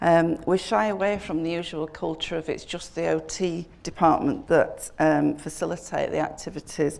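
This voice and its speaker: In a Yorkshire accent, a woman talks with hardly any pauses. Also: moderate pace. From northern England, Sheffield. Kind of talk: conference talk. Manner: hesitant, many fillers.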